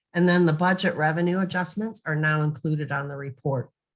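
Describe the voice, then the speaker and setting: With ordinary pitch variation, a normal speaking voice delivers its words at a fairly quick pace. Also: woman. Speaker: software trainer. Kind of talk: webinar presentation. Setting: online meeting.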